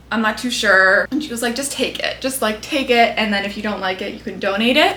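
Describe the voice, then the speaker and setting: Over noticeable background noise, a woman talks at a fairly quick pace in a fairly high voice with ordinary pitch variation. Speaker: beauty and lifestyle YouTuber. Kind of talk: casual chat. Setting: bedroom. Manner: animated.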